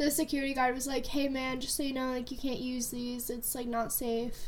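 A woman speaks at a fairly quick pace in a high pitch, with audible room echo around her. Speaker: podcast co-host, college student. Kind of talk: casual chat.

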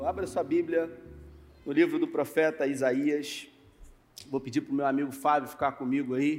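Pausing long and often, a man talks at a moderate pace with fairly high pitch and fairly even intonation. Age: 40s. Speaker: pastor. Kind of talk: sermon.

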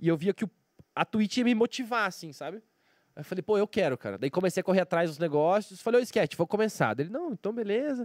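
Recorded very cleanly against a silent background with a dry, close sound and no echo, a man speaks at a high pitch and a fairly quick pace with lively intonation. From Brazil, Curitiba. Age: 30s. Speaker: professional poker player and streamer. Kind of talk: casual interview chat.

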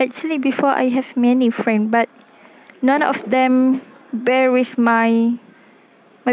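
A woman's high voice, very slow and monotone with flat intonation, over noticeable background noise. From Malaysia, Klang, Selangor. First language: Malay. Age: 20s. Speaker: university student. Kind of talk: personal podcast monologue. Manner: halting.

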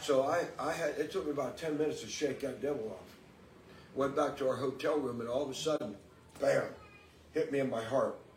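A man speaks with ordinary pitch variation and long, frequent pauses, with noticeable background noise behind him. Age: 70s. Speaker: guest preacher. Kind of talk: sermon. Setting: church.

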